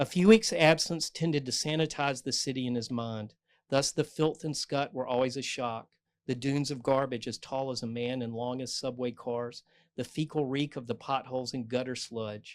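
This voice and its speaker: A man with a North Carolina accent at a medium pitch, fairly even intonation and a moderate pace, in a very clean recording with a silent background. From North Carolina, US South. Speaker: novelist. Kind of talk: author talk with reading aloud. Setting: bookstore event with audience, microphone.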